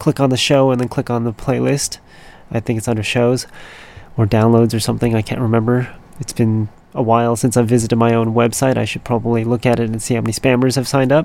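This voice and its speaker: The voice moves at a fairly quick pace with a flat, monotone delivery. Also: man. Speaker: radio DJ. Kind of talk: radio show links between songs. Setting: radio studio. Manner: casual, rambling.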